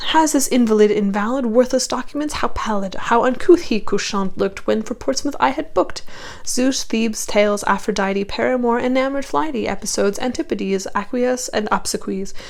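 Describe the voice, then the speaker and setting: A woman's fairly high voice with lively intonation at a fairly quick pace, over noticeable background noise. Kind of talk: poetry reading.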